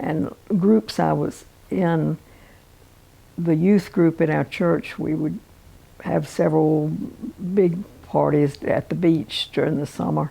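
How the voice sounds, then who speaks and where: A woman with a Virginia accent at a very slow pace, with long, frequent pauses. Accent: Southern US (Virginia). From Norfolk, Virginia. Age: 80s+. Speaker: pianist and piano teacher. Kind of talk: life story interview answer.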